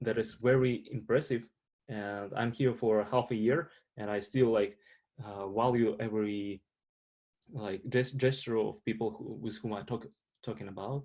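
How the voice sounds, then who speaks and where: A man talks with a strong Russian accent at a moderate pace, his intonation fairly even. He takes long, frequent pauses against a quiet background. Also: medium pitch for a man. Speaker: international student panelist. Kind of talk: panel discussion. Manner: halting, many fillers.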